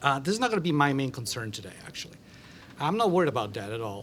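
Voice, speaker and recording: Very fast delivery from a man at fairly high pitch, with very wide pitch swings. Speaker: philosophy professor. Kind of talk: conference panel talk.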